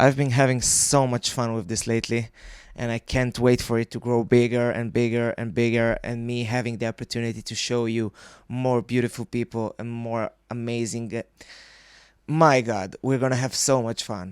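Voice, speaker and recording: A medium-pitched man's voice with a non-native accent. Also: moderate pace, dry, close sound with no echo. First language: not English. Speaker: podcast host. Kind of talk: casual interview chat. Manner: animated.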